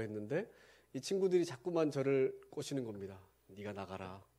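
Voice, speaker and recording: A man speaks in a dark, mellow tone. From Gangwon Province, South Korea. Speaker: pastor. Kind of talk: sermon.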